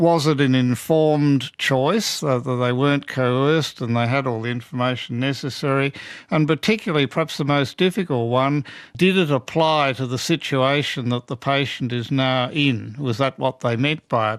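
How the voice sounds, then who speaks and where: Over a very clean recording with a silent background, an ordinary speaking voice moves at a moderate pace. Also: man, fairly high pitch for a man, ordinary pitch variation. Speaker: oncologist and bioethicist. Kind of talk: interview answer.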